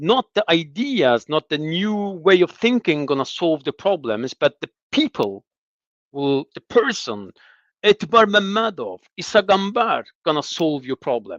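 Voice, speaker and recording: The speech comes at a fairly slow pace with very wide pitch swings. The sound is dry and close with no echo, against a quiet background. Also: man, high pitch for a man. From Azerbaijan (Lankaran, south). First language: Azerbaijani. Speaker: former diplomat in exile, analyst. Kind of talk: political discussion interview. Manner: hesitant, repeats words.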